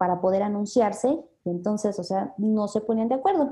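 A woman speaks at a moderate pace in a fairly high, somewhat breathy voice with a dark, mellow tone and ordinary pitch variation. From Mexico City. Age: 20s. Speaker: health business marketer. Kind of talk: interview.

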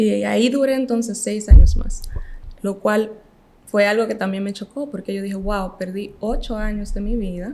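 A woman with a Dominican accent, medium-pitched and fairly even in intonation, at a moderate pace over noticeable background noise. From Dominican Republic, Montecristi. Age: 20s. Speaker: medical graduate. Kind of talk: casual interview.

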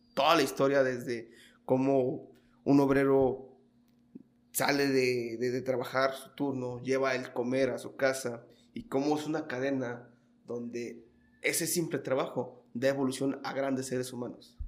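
A man's monotone, flat delivery at a fairly slow pace, with audible room echo. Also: medium pitch for a man. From Mexico, Michoacán (Los Reyes). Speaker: podcast host. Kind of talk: interview. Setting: guest's office.

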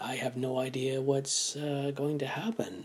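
A man speaks fairly slowly amid noticeable background noise. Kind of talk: personal testimony. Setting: home front room. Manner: halting, many fillers.

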